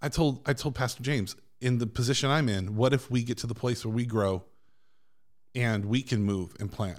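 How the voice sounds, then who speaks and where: A man's plain, everyday voice, medium in pitch, at a moderate pace with ordinary pitch variation. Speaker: pastor guest. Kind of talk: casual chat. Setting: studio.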